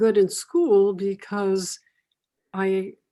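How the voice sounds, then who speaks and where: In a very clean recording with a silent background, a woman speaks at a medium pitch with a dark, mellow tone and fairly even intonation. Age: 80s+. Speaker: mother of the host, former model. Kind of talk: casual chat. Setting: podcast recording. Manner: halting.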